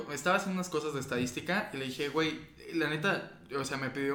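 A man with a fairly high voice talks very fast, his pitch moving in an ordinary way. Room echo is audible, and background noise is noticeable. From foreign-born, living in Mexico. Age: 20s. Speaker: podcast host. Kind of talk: casual chat.

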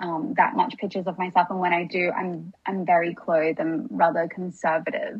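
Speaking with an Australian accent, a woman uses a fairly low pitch, a somewhat breathy voice, ordinary pitch variation and a fairly quick pace with hardly any pauses. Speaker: podcast guest, wellness creator. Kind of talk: casual chat.

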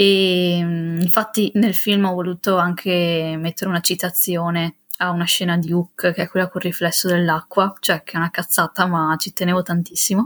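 A woman's fairly low-pitched voice at a moderate pace, with monotone, flat intonation. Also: dry, close sound with no echo, very clean recording, silent background. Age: 20s. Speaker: independent filmmaker and student. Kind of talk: casual interview.

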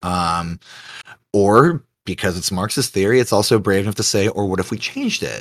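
A man uses a normal speaking voice with fairly low pitch and ordinary pitch variation on a very clean recording with a silent background. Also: moderate pace. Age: 30s. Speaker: podcast guest. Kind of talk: casual chat.

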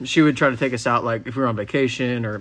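A man talks very fast at a medium pitch, in a Texan accent. The background is quiet. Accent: Texan American. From Texas, Frisco. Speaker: horse trainer. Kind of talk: casual chat. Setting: home barndominium.

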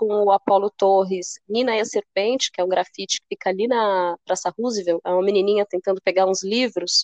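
A woman speaks in a plain, everyday voice at medium pitch and a moderate pace, with fairly even intonation. She hardly pauses, and the sound is dry and close with no echo. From São Paulo state, Brazil (São Bernardo do Campo). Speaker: cultural producer and curator. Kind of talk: casual interview chat.

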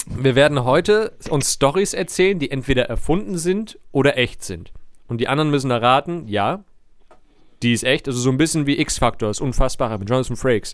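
The voice moves at a fairly quick pace with lively intonation. It is an ordinary speaking voice. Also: man, fairly high pitch for a man. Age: 30s. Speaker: podcast host. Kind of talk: casual chat.

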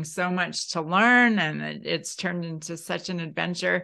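A woman's ordinary speaking voice, fairly low in pitch, at a moderate pace over a quiet background. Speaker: podcast host. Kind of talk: interview conversation.

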